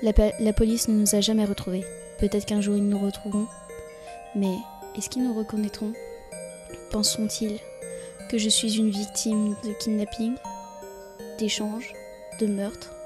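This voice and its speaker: At a moderate pace, a woman with a medium pitch speaks in a monotone, flat intonation while music plays in the background. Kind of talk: horror story reading.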